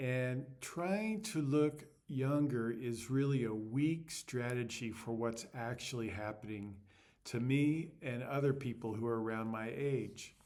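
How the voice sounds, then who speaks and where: A man with medium pitch and ordinary pitch variation speaks at a fairly slow pace in an unremarkable speaking voice. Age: 60s. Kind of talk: casual talk to camera. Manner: reflective.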